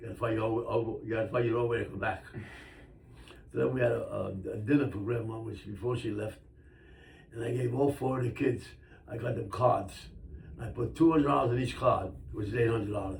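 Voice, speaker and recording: The voice moves at a very fast pace with ordinary pitch variation and long, frequent pauses, and audible room echo surrounds it. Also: man, medium pitch for a man. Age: 90s. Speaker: grandfather being interviewed by grandchild. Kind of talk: casual family interview, storytelling.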